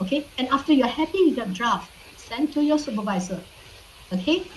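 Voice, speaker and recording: Through audible room echo and noticeable background noise, a woman speaks at a moderate pace with lively intonation. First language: not English. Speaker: university lecturer. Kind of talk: online lecture. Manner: frequent fillers, repeats okay.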